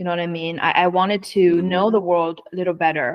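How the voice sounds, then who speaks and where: A woman with a Chinese accent talks at a moderate pace in a fairly low voice with fairly even intonation. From northeast China. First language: Mandarin Chinese. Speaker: autonomous driving executive. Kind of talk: interview conversation. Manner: halting.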